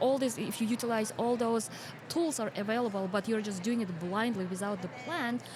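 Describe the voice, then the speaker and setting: Over noticeable background noise, a woman with a Kyrgyz accent talks at a fairly quick pace with a fairly high pitch. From Kyrgyzstan. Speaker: financial educator and podcast host. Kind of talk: casual interview chat. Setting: podcast booth at a conference.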